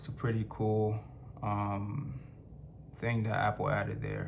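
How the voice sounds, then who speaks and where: A man talks at a moderate pace and a fairly low pitch with fairly even intonation. His voice is somewhat breathy, and there is audible room echo. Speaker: tech reviewer. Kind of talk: product review. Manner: halting, many fillers; casual, conversational.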